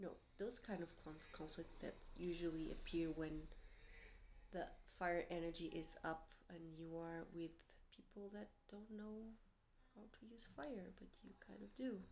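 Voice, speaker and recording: Someone with a Portuguese accent speaks fairly slowly with lively intonation and long, frequent pauses, and audible room echo is present. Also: woman, fairly low pitch for a woman. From Portugal. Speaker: tarot reader. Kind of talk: tarot reading monologue to camera. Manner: casual, hesitant with fillers.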